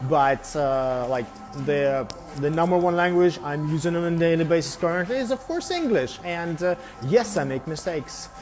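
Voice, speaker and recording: Music plays in the background. A man with a high pitch talks at a moderate pace with lively intonation. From Belarus. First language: Russian. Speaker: English tutor. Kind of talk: live stream monologue. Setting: barbershop. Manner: halting, many fillers.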